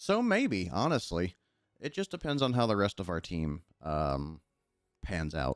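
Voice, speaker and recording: Quiet and relaxed in tone, a man with a very deep, low pitch speaks at a fairly slow pace with very wide pitch swings, in a dry, close sound with no echo. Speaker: gaming streamer. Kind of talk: livestream gameplay chat. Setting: livestream. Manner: not loud or yelling.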